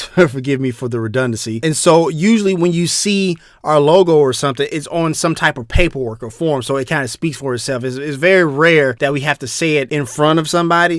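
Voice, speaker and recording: Fairly high-pitched with ordinary pitch variation, a man talks in an American accent. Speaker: business podcast host. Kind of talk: podcast tutorial. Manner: casual, with fillers.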